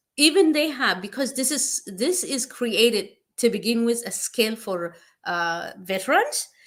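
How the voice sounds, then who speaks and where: Speaking with a non-native accent at a fairly slow pace, the voice makes very wide pitch swings in a very clean recording with a silent background. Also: woman. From East Africa (Eritrea/Ethiopia). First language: not English. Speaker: nurse practitioner. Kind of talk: informal advice talk. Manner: halting, many fillers.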